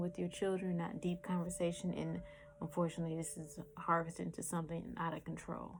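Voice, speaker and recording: Very fast in pace, a woman talks with monotone, flat intonation. Her voice is fairly low and somewhat breathy. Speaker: tarot reader. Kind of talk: tarot reading.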